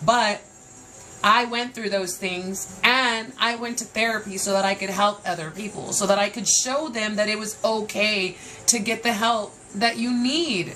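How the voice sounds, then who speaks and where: With an American accent, the speaker sounds animated, using ordinary pitch variation at a fairly slow pace over noticeable background noise. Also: woman, fairly high pitch for a woman. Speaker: podcast host. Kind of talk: personal monologue podcast. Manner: loud; emotional, animated.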